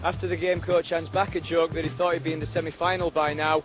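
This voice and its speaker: A man's fairly high voice at a very fast pace with ordinary pitch variation, music in the background. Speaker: sports broadcaster. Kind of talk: sports news report to camera.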